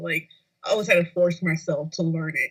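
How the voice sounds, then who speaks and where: A woman talks here. Her pitch sits fairly low. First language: Spanish. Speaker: podcast co-host. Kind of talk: casual chat.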